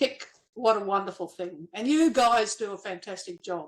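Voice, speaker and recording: The speech comes in an Australian accent at a fairly slow pace. The recording is very clean, with a silent background. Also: woman. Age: 70s. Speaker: nurse and former builder, medical school entrant. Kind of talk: podcast interview.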